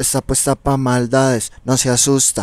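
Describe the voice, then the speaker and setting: The speaker is a man with a Colombian paisa accent. The sound is dry with no echo. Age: 20s. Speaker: reggaeton singer; guest. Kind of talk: interview. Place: studio. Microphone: handheld.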